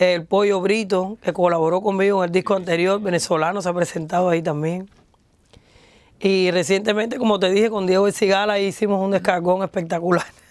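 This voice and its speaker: Against a quiet background, a woman speaks at a fairly quick pace with fairly even intonation, the sound dry with no echo. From Cuba, Havana; Cuba. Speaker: singer; interviewee. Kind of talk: interview. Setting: studio. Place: studio. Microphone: lapel.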